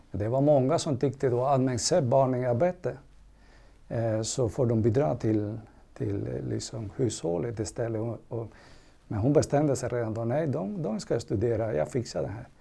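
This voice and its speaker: In a Spanish accent, a man speaks at a moderate pace with lively intonation. His medium-pitched voice has a dark, mellow tone and some vocal fry. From Cuba. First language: Spanish (speaking Swedish). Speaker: manager. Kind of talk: casual chat.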